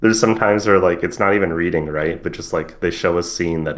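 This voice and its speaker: Speaking at a fairly quick pace, a man uses a very deep, low pitch and fairly even intonation. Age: 20s. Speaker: anime podcast co-host. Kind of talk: casual chat.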